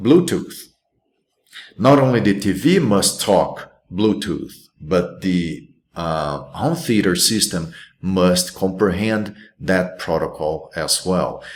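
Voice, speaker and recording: Speaking very slowly with long, frequent pauses, a man with a Brazilian accent uses a very deep, low pitch and lively intonation, with audible room echo. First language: Portuguese. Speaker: college instructor. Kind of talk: recorded lecture. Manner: halting, many fillers and restarts.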